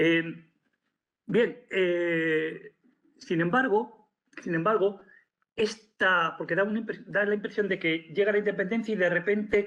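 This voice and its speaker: The man's delivery is fairly slow. Ordinary variation shows in his pitch. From Spain. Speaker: professor. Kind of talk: lecture. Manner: halting.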